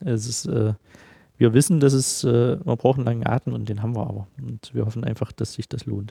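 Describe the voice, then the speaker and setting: A somewhat breathy man with a medium pitch and ordinary pitch variation speaks at a fairly quick pace in dry, close sound with no echo. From Halle, central Germany. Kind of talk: casual interview. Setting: large unfinished studio hall.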